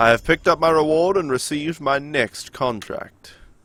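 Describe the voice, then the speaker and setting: A man in an American accent with ordinary pitch variation, music in the background. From New Zealand. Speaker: gaming live streamer. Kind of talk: live gameplay stream chatting with viewers. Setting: live stream. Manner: casual, conversational.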